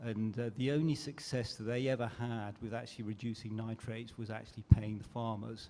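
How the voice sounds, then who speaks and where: In a British accent, a man talks at a fairly quick pace with a dark, mellow tone. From UK. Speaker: panelist. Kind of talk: panel discussion.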